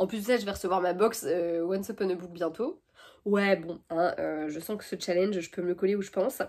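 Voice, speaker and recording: A woman at medium pitch speaks at a fairly quick pace with fairly even intonation. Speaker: book YouTuber. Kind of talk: casual vlog talk. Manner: fast; hesitant, many fillers.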